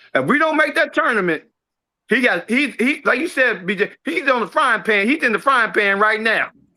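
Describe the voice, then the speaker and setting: Using a raised, projected voice with a bright, sharp tone, a man with an American accent speaks at an extremely high pitch and moderate pace, his intonation lively. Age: 60s. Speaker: caller. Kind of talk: call-in sports talk. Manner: halting, repeats words.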